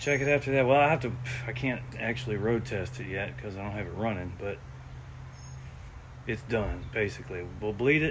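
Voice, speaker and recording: A man speaks quietly at a medium pitch with vocal fry and lively intonation, at a fairly quick pace. Long pauses come often, and the room echo is audible. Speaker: car mechanic hobbyist youtuber. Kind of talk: tutorial. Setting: garage. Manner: gets quieter as he talks.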